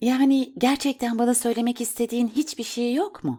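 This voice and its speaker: A female-sounding voice, soft-spoken and high, delivers a put-on character voice at a moderate pace. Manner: gentle, probing.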